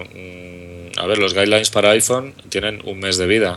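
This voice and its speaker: Over noticeable background noise, a man with a Madrid accent speaks with a fairly low pitch. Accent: Madrid Peninsular Spanish. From Madrid, Spain. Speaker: app developer. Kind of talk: casual chat.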